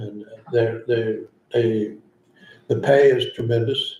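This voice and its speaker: A man's medium-pitched, somewhat breathy voice, dark and mellow in tone, fairly slow, with monotone, flat intonation. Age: 80s+. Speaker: drainage board chair. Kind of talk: public meeting. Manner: halting.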